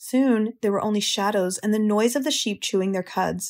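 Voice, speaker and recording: A woman talks at a moderate pace in a medium pitch, with an unremarkable speaking voice. Her pitch varies in an ordinary way, and the recording is very clean with a silent background. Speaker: audiobook narrator. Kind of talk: children's audiobook reading.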